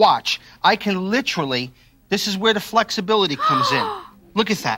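A man with a high pitch uses a raised, projected voice in an enthusiastic tone, with lively intonation and a fairly quick pace. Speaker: TV chef and infomercial host. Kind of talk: infomercial product demonstration. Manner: enthusiastic, salesy. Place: studio. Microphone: lapel.

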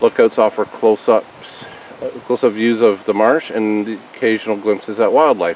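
An ordinary speaking voice at a moderate pace, with light background noise and a dry sound with no echo. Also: man. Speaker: family vlogger. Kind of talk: casual vlog chat. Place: forest. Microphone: phone near.

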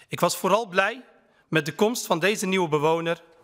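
A man with a high pitch and a bright, sharp tone talks at a fairly slow pace against a quiet background. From Netherlands, Utrecht (Kanaleneiland); Netherlands. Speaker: member of parliament. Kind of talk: parliamentary speech. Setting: parliament chamber. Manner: formal. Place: hall. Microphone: podium.

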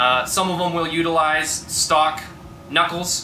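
Light background noise and audible room echo surround the recording. A man speaks at a fairly slow pace. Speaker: garage channel host. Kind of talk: tutorial. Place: garage.

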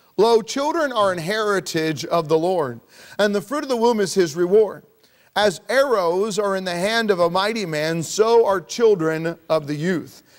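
The background stays quiet. A man speaks at a moderate pace over it. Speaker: pastor. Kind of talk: sermon. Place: church.

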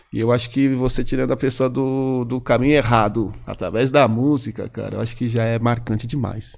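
On a very clean recording with a silent background, a man with an unremarkable speaking voice talks at a fairly quick pace and medium pitch, his intonation fairly even, with hardly any pauses. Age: 50s. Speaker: rapper. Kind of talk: casual chat.

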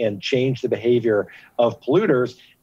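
A man's dark, mellow voice at a moderate pace with ordinary pitch variation, in a dry sound with no echo. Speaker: guest. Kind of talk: interview answer. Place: street.

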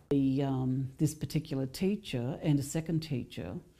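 A woman with an Australian accent speaks at a fairly slow pace. Her pitch is very deep and low, with a dark, mellow tone. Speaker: mother of survivor. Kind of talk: interview. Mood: grave, recounting abuse. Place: home room.

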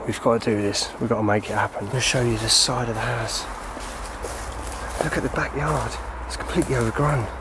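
The speech moves at a fairly quick pace with ordinary pitch variation. The sound is dry with no echo, though there is noticeable background noise. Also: man. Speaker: urban explorer narrator. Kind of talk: casual vlog commentary. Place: garden. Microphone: phone near.

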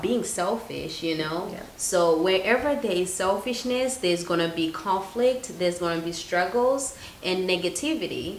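Light background noise and audible room echo surround a woman of medium pitch, who talks at a moderate pace with lively intonation. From Zimbabwe. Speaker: YouTuber, guest. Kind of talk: casual chat. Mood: earnest, advising. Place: kitchen. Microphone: camera far.

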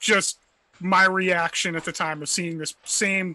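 This man has a bright, sharp tone and fairly even intonation, and he talks at a fairly slow pace. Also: dry sound with no echo. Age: 40s. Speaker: podcast co-host. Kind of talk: casual chat. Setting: remote call. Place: home room.

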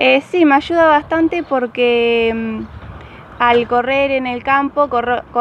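A woman talks at a high pitch and a fairly slow pace. The sound is dry with no echo, and there is light background noise. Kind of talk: interview answer. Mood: calm, slightly shy. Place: street.

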